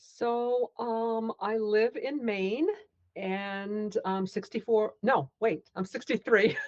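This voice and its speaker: At a very slow pace, the voice comes across with a dry, close sound and no echo. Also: woman, fairly high pitch for a woman, ordinary pitch variation. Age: 60s. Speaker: amateur athlete. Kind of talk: interview. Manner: hesitant.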